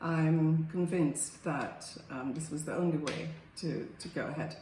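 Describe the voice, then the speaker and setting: A woman talks in a very deep, low voice. Noticeable background noise and audible room echo fill the recording. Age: 70s. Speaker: surgery patient. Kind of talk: patient testimonial. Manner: halting, many fillers and repeats.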